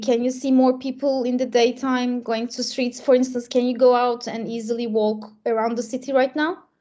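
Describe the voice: A woman talks at a moderate pace. Her voice is high-pitched with a dark, mellow tone.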